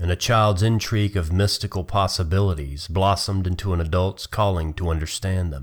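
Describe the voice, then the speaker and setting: A man with a very deep, low voice speaks at a moderate pace, somewhat breathy, with ordinary pitch variation, on a very clean recording with a silent background. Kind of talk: literary audiobook reading, narrated fiction with character voices. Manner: measured, storyteller pacing, steady and expressive.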